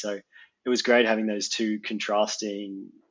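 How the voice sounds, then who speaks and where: This man talks in an Australian accent with a fairly low pitch and monotone, flat intonation. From Australia, Geelong. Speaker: mapping industry professional. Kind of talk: casual chat.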